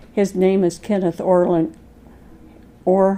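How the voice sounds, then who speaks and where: A woman speaks with an American accent at a fairly low pitch. Her tone is dark and mellow. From Colorado, US. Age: 80s+. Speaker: grandmother interviewee. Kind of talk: family interview. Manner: hesitant, with fillers.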